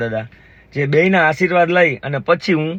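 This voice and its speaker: A man with a fairly high pitch and a bright, sharp tone speaks with ordinary pitch variation. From Gujarat, India (Jamnagar area). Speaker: vlogger. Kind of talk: casual vlog narration. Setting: outdoors, village farm.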